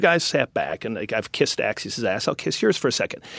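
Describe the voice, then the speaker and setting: The sound is close and dry, without any echo. Here a man speaks very fast. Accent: American. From Wisconsin. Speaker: news editor and media founder. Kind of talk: interview.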